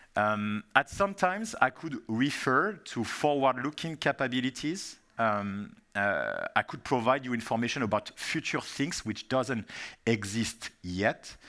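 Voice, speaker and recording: This man speaks with a French accent and ordinary pitch variation. The recording is very clean, with a silent background. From France. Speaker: software industry strategy manager, keynote speaker. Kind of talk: conference keynote presentation. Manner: hesitant, many fillers.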